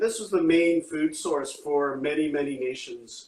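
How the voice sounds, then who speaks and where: With a Canadian accent, a man has an unremarkable speaking voice, talking at a fairly slow pace with ordinary pitch variation. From Canada, Anishinaabe (Ojibwe and Algonquin). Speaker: chef and restaurant owner. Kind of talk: casual interview on a cooking livestream.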